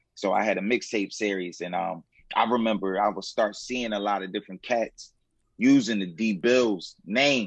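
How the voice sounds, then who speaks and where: A man's voice, fairly low in pitch, at a moderate pace with fairly even intonation. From Philadelphia, US. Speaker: hip hop artist. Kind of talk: casual interview chat.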